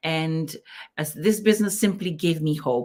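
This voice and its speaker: Speaking with a Fijian accent, a woman keeps a fairly slow pace. Her pitch is fairly low. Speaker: digital business owner, co-host. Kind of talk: live-stream business chat. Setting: online live stream.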